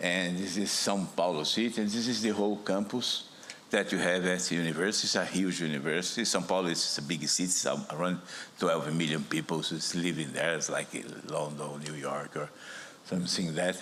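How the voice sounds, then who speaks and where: With a Brazilian accent, a man talks at a fairly quick pace in a very deep, low pitch with ordinary pitch variation, while audible room echo and noticeable background noise fill the recording. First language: Portuguese. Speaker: virology professor. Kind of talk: conference talk. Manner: halting, with repetitions.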